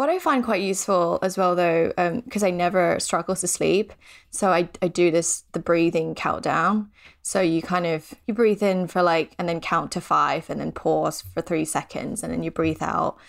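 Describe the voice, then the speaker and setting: With vocal fry, a woman talks at a moderate pace in a fairly low pitch with ordinary variation, on a very clean recording with a silent background. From Thailand. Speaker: small business founder. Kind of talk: casual chat.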